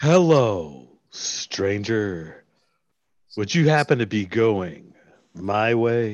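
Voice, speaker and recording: Speaking at a very slow pace, a man holds a medium pitch. His voice moves in very wide pitch swings. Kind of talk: radio commercial pitch. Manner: grandiose, suggestive.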